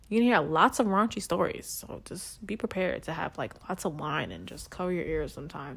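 In a New York accent with vocal fry, the speaker moves at a moderate pace with ordinary pitch variation. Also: woman. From the Bronx, New York. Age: 20s. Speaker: podcast host. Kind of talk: casual chat, comedic rant. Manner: animated, brash.

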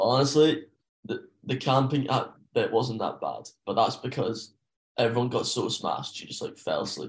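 A man with a Scottish accent speaks at a moderate pace. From Scotland (rural). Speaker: podcast guest, backpacker. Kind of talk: casual chat. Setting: video call.

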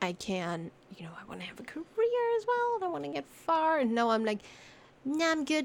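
Her high voice swings very widely in pitch, broken by long, frequent pauses, while noticeable background noise runs behind the woman speaking. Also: fairly quick pace, big swings in loudness. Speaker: streamer, co-host. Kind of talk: casual chat, podcast recording.

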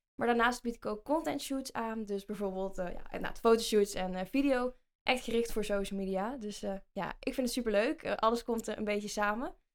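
A woman speaks with a slight Brabant accent and hardly any pauses. Her fairly high pitch shows ordinary pitch variation. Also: moderate pace. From Netherlands, North Brabant (Vinkel near Den Bosch). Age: 20s. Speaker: podcast co-host, social media agency owner. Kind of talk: casual chat.

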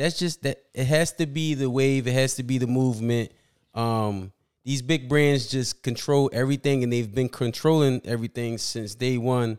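A man with a plain, everyday voice speaks at a moderate pace and medium pitch, with an American accent. The very clean recording has a silent background and a dry, close sound with no echo. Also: fairly even intonation. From Philadelphia, US. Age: 30s. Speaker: basketball fan guest. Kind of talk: casual chat.

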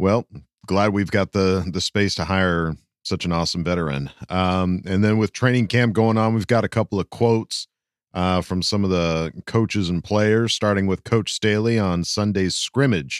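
Here a man with an unremarkable speaking voice and a fairly low pitch talks at a moderate pace with ordinary pitch variation. The recording is very clean and the background silent, with a dry, close sound and no echo. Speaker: podcast co-host. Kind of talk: casual chat.

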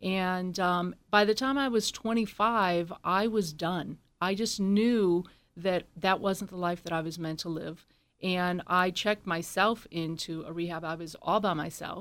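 A woman's unremarkable speaking voice at medium pitch, with ordinary pitch variation, a fairly slow pace, and a very clean recording with a silent background. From born in Scotland, raised in US military family moving often. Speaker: drone company CEO. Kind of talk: interview.

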